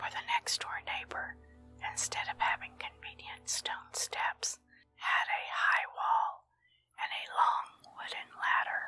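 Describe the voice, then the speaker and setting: A woman is whispering. She speaks at a very slow pace. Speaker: ASMR story reader. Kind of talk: whispered story reading for relaxation. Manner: whispered, soft.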